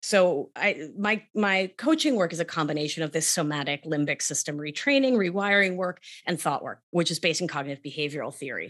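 Speaking in a New York accent, a woman moves at a fairly quick pace. Her intonation is lively and her pitch fairly low. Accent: New York American. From Argentina, raised in New York. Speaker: somatic life coach and nurse practitioner. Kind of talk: casual interview.

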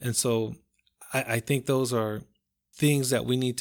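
Recorded very cleanly with a silent background, a man with an American accent and an unremarkable speaking voice talks at a moderate pace with fairly even intonation. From Compton, California. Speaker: marriage ministry leader. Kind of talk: casual chat.

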